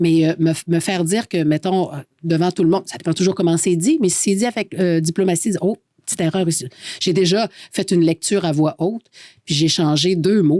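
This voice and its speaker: A woman with a Quebec accent and a fairly low pitch speaks at a fairly quick pace in a dark, mellow tone with fairly even intonation, in a very clean recording with a silent background and a dry, close sound with no echo. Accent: Québécois French. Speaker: radio host. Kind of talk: casual chat.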